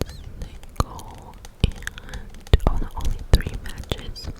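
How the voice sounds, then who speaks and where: Whispering at a very slow pace comes through noticeable background noise. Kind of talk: casual personal anecdote. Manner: whispered.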